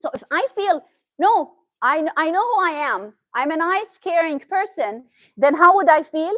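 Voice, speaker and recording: A woman with a Syrian accent speaks at a moderate pace in an extremely high pitch with very wide pitch swings. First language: Arabic. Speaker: therapist. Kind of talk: talk to an audience. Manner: animated.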